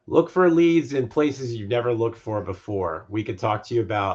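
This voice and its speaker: A somewhat breathy man at a moderate pace, ordinary pitch variation, quiet background. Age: 60s. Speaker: mortgage lending executive. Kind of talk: interview.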